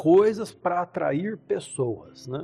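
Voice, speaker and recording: Over music in the background, a man speaks with very wide swings in pitch. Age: 60s. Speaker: pastor and church musician. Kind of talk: casual chat.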